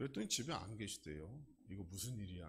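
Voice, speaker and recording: Male voice with vocal fry, very wide pitch swings and audible room echo. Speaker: pastor. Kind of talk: sermon. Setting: church.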